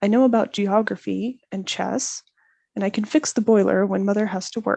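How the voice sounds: Fairly even intonation in a natural reading voice, quiet background behind it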